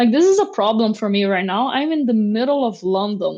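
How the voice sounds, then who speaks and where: With a fairly high pitch, a woman talks, and her pitch varies in an ordinary way. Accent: Portuguese. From Brazil, Rio de Janeiro. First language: Portuguese. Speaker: software engineer. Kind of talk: casual interview chat.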